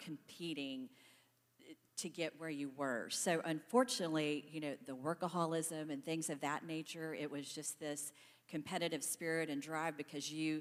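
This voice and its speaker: A woman's very deep, low voice at a moderate pace, with an American accent. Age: 60s. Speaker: panelist, staffing company employee. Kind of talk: panel discussion.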